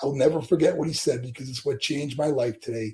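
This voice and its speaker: Very fast speech from a man with a fairly high pitch, an American accent and ordinary pitch variation. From western New York (Buffalo). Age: 60s. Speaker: former pro wrestler, motivational speaker. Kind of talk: interview.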